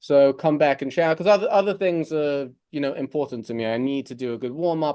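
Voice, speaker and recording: Against a quiet background, someone with an American accent speaks at a moderate pace in a dark, mellow tone with ordinary pitch variation. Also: man. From England, London. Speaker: mortgage broker, company CEO. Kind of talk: podcast interview. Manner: casual, conversational with fillers.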